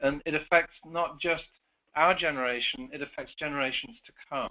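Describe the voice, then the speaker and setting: Speaking at a moderate pace with an English accent, a man has a fairly high pitch and ordinary pitch variation. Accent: English accent noticeable, joked about. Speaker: author and career consultant, presenter. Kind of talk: webinar presentation.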